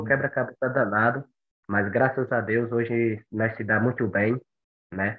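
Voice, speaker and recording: A man talks at a moderate pace in a normal speaking voice. His pitch sits in the middle range. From Brazil, Bahia (Monte Santo). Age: 20s. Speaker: long-distance runner. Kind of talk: podcast interview.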